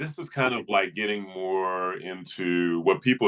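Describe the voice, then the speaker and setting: With an American accent, a man speaks in a bright, sharp tone with ordinary pitch variation. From US Midwest, Flint, Michigan. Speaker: speaking coach. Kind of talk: coaching session.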